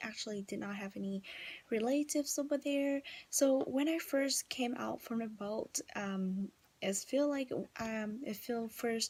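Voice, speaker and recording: A woman speaks in a Vietnamese accent with a fairly high pitch. Her pace is fairly slow, with ordinary pitch variation. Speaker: vlogger. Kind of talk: casual vlog talk. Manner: halting, many fillers.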